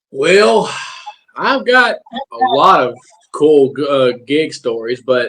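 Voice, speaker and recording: A man's fairly high voice with a Southern US accent, at a very slow pace. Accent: southern drawl. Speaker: musician in a tribute band. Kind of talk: casual interview chat. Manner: halting, many repetitions.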